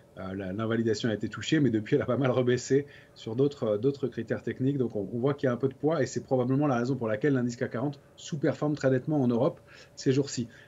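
Ordinary pitch variation and a fairly quick tempo from a male speaker. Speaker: guest. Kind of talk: technical market commentary. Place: home room. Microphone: video call.

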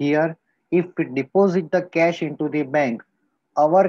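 Speaking at a fairly slow pace, a man with an Indian accent is heard in a dry recording with no echo and a quiet background. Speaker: school teacher. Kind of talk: lecture. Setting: recorded video lesson. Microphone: webcam.

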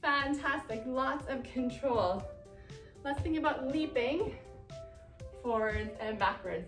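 A woman speaks at a high pitch with ordinary pitch variation. Music plays clearly in the background. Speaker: movement teacher. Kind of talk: exercise instruction. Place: classroom. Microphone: camera far.

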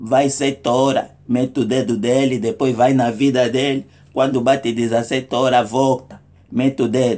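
Speaking at a fairly slow pace, a man delivers his words with monotone, flat intonation. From Angola. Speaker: comedic vlogger. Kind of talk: comic monologue. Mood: humorous, mock indignant. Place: home room. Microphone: phone near.

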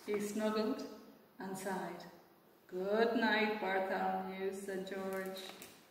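Unforced reading in a plain-sounding voice

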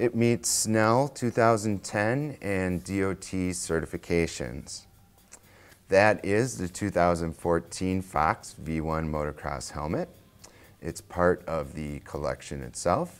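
The man's pitch is very deep and low. He speaks at a very slow pace. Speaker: presenter. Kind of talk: product review presentation. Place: shop. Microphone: lapel.

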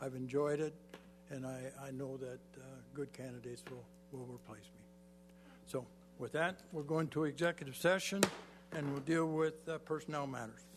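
Over music in the background, a man with a fairly high voice and fairly even intonation talks at a moderate pace, with long, frequent pauses and big swings in loudness. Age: 80s+. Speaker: mayor. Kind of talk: council meeting remarks. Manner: halting.

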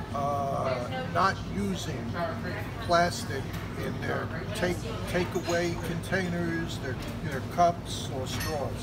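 Speech comes at a very slow pace with long, frequent pauses while music plays in the background. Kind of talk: interview answer. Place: cafe. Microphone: phone near.

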